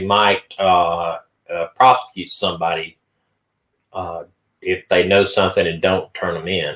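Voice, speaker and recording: With an Appalachian accent, a man talks at a moderate pace with ordinary pitch variation. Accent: Southern US, rural Appalachian. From Sand Mountain, Alabama area. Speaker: podcast host discussing missing persons cases. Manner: casual, hesitant with fillers.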